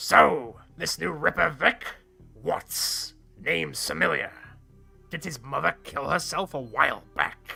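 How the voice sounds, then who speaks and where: A raspy, put-on character voice speaks at a fairly slow pace with faint music in the background. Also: man, fairly high pitch for a man. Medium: game stream. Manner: brusque, contemptuous.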